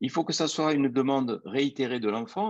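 This man talks at a moderate pace, the background behind him quiet. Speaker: anesthesiologist and near-death researcher. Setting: live video stream.

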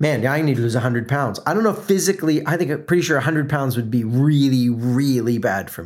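A man with an American accent speaks in an unremarkable speaking voice, fairly high in pitch, with lively intonation. The recording is very clean, with a silent background. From US South (South Florida, then Atlanta). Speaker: podcast host and brand consultant. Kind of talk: solo motivational podcast monologue. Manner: conversational, filler words.

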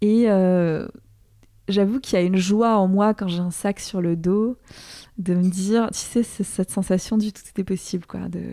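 The speaker goes at a fairly slow pace with fairly even intonation on a very clean recording with a silent background. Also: woman. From Alsace, France. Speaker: author and filmmaker. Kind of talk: interview conversation. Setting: apartment in Toulouse. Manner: halting.

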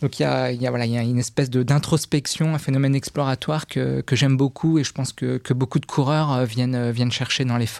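A man at medium pitch speaks fairly quickly, with hardly any pauses and fairly even intonation. The sound is dry and close, with no echo. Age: 40s. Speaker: corporate lawyer and contract manager. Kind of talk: podcast interview. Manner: hesitant, frequent word repetitions.

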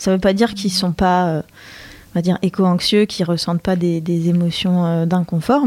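A woman is speaking. Her pitch is medium. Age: 30s. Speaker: author of a collaborative book. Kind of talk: radio interview. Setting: radio studio.

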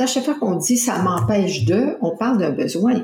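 With a Quebec accent, a woman speaks in a lively intonation. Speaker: personal development coach and author. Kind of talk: interview. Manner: halting.

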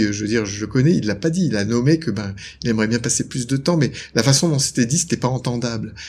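Very fast and somewhat breathy, a man rushes through his words. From northern France, Lille. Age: 50s. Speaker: couples therapist and author. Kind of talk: interview.

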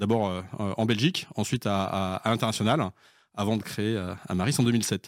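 This very clean recording with a silent background has a man speaking at a moderate pace with ordinary pitch variation and very even loudness. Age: 40s. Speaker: consulting company founder and CEO. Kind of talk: interview. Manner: halting, many repetitions.

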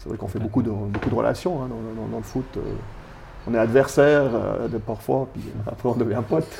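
A man at medium pitch talks at a fairly quick pace, his loudness swinging widely and his pitch varying in an ordinary way. Background noise is noticeable. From Switzerland, Valais (Granges near Sierre). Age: 40s. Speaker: local civic leader. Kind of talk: casual interview. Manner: hesitant, many fillers.

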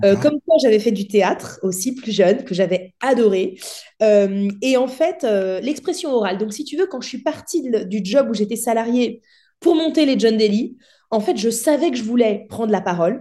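With a dark, mellow tone and fairly high pitch, a woman speaks at a moderate pace using lively intonation. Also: quiet background. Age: 30s. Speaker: entrepreneur and public speaker. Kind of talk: casual interview.

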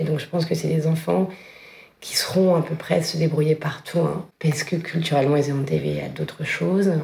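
A woman talks at a moderate pace with a very deep, low pitch. Noticeable background noise runs behind her. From northern France. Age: 40s. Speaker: fashion brand founder. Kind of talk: casual chat.

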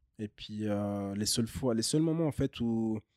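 On a dry, close recording with no echo, a man speaks at a moderate pace with a medium pitch and a dark, mellow tone. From French-speaking Switzerland, Bussigny near Lausanne. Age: 30s. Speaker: DJ and breakdancer. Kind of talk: casual interview.

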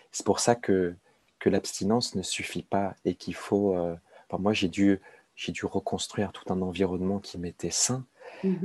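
Recorded with a dry, close sound and no echo, a man speaks in a fairly low pitch with a dark, mellow tone and fairly even intonation. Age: 30s. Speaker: addiction peer expert, author. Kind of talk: interview about personal recovery. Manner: halting, many repetitions and hesitations.

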